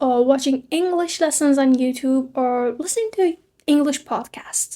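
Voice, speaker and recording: At a fairly slow pace, the speaker has a dark, mellow tone and a non-native accent. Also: woman. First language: not English. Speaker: English learning youtuber. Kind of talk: tutorial.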